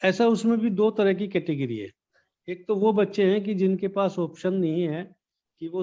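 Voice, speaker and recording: The voice has a dark, mellow tone and ordinary pitch variation, set against a quiet background. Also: man. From Baghpat district, Uttar Pradesh, India. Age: old. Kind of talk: interview answer.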